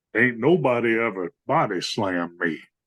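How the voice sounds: At a moderate pace, a put-on character voice is performed. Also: man, medium pitch for a man.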